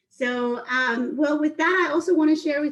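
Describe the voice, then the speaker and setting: A woman talks with a Mexican accent. Her intonation is lively. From Mexico, Acapulco. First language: Spanish. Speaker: spirits sales manager teaching a cooking class. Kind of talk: online cooking and drinks class. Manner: fast when excited.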